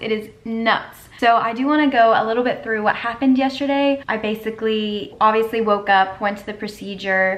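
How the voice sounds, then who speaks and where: Fairly high in pitch, a woman speaks in an unremarkable speaking voice at a moderate pace, with ordinary pitch variation and hardly any pauses. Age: 20s. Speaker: college student. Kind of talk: casual vlog talk to camera. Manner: upbeat.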